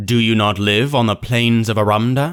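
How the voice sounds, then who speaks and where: Using a put-on character voice, a man speaks at a moderate pace. His pitch sits at a medium level. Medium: read story. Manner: measured, formal, questioning.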